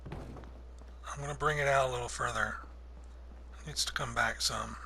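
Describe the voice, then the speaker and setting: Room echo can be heard clearly. It trails the voice of a man. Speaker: gaming video creator. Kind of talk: tutorial. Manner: slow; casual.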